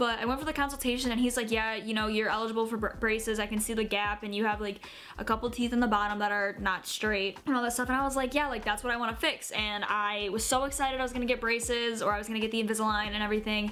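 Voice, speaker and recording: Speaking very fast with hardly any pauses, a woman keeps her fairly high voice in a flat monotone. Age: 20s. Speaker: YouTuber. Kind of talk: casual vlog. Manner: casual, filler-heavy.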